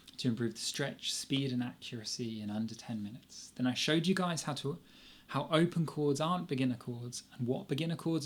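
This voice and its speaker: A man of medium pitch talks at a fairly quick pace. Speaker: guitar teacher. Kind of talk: live online lesson. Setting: live stream. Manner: fast; animated.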